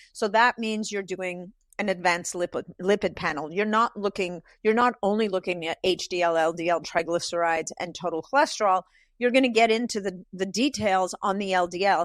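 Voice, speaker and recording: A woman's normal speaking voice at medium pitch and a fairly quick pace, with ordinary pitch variation, in a very clean recording with a silent background and a dry, close sound with no echo. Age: 60s. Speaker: holistic nutritionist. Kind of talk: casual chat.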